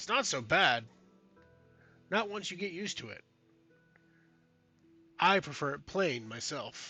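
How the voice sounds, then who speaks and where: In a put-on character voice, a man speaks high and raspy at a moderate pace, with very wide pitch swings, long, frequent pauses and faint music in the background. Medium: actual play. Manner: uneasy, defensive.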